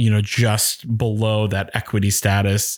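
The recording is very clean and the background silent. A man with an American accent talks at a fairly low pitch. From Maine, US (Oxford Hills, western Maine). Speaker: actor and music director. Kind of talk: casual interview chat.

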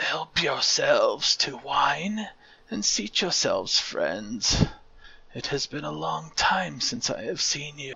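At a fairly slow pace, a man delivers his lines in a put-on character voice. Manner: weak, hoarse.

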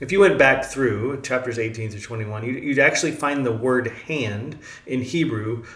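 Ordinary pitch movement in a plain read-aloud delivery

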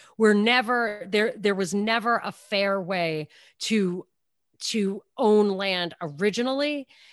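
In a New York accent, the speaker goes at a very slow pace with ordinary pitch variation, on a very clean recording with a silent background. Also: woman, medium pitch for a woman. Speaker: radio talk show host. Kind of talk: casual interview chat.

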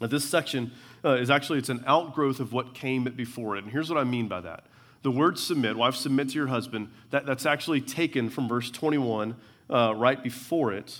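A man's medium-pitched voice at a fairly quick pace, with ordinary pitch variation, on a very clean recording with a silent background. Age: 40s. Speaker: preacher. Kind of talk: church sermon expounding scripture, building to pastoral application. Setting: church service with congregation. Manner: conversational with frequent uh fillers and stumbling repetitions; earnest, rhythmic preaching cadence with repeated phrases for emphasis.

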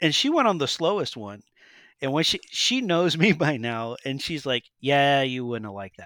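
A man with a fairly high pitch and a bright, sharp tone speaks at a moderate pace with lively intonation and big swings in loudness. The recording is very clean, with a silent background. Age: 30s. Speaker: Disney timeshare owner sharing a trip report. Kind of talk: casual chat.

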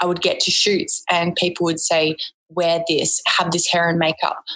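Someone with an Australian accent talks at a fairly slow pace. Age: 20s. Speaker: photographer's assistant and former model. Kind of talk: casual interview chat.

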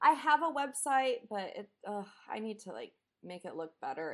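Her pitch makes very wide swings. The woman keeps to a moderate pace. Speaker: prop artist and actor. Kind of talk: casual chat. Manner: loud.

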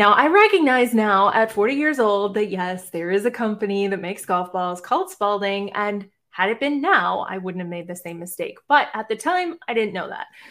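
A woman speaks in a medium pitch with ordinary pitch variation. Her pace is moderate. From Boston, Massachusetts. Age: 40s. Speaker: life coach and podcast host. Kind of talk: live-stream monologue. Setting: live stream.

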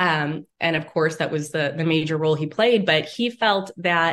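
A woman speaks in an Inland North US accent. Her pace is moderate, with ordinary pitch variation. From Northeast Ohio, Lake County. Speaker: author and journalist. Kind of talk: interview.

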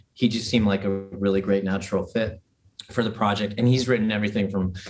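A man's fairly low voice at a fairly quick pace, with fairly even intonation and an unremarkable speaking voice. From Toronto, Canada. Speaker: musician and producer. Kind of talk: casual interview.

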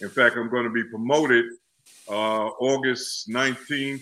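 A man speaks at a fairly slow pace with an American accent. His tone is bright and sharp. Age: 70s. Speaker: music event promoter. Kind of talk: casual chat. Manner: animated.

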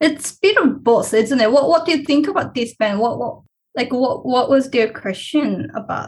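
A woman with a Korean accent speaks at a moderate pace in a high pitch with lively intonation. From South Korea. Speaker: PhD researcher. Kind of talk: interview, conversational.

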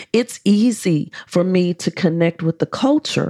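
An ordinary speaking voice at a fairly slow pace, recorded dry and close with no echo. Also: woman. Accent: American. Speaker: dating and relationship coach. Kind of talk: solo podcast monologue with prayer.

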